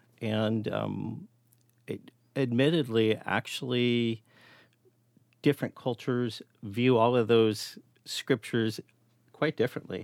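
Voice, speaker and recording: Medium pitch from a man, in a very clean recording with a silent background. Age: 60s. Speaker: parent of guest. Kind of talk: conversational interview.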